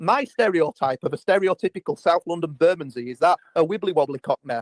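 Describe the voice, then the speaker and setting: A man with a Yorkshire accent, high-pitched, at a very fast pace with hardly any pauses, lively intonation, and a dry, close sound with no echo. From Yorkshire, northern England. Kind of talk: casual chat. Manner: animated.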